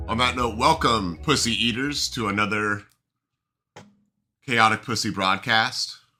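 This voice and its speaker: A man talks at a medium pitch and a fairly slow pace, leaving long, frequent pauses. His pitch varies in an ordinary way, and music plays in the background. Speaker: podcast host. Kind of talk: casual chat. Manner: loud, projecting.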